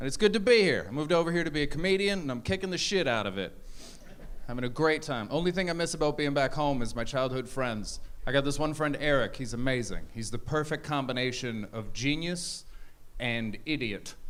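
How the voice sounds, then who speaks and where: Amid audible room echo, a man with an American accent speaks at a fairly quick pace, his fairly high voice full of lively intonation. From Canada. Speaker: stand-up comedian. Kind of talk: stand-up. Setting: stage with audience.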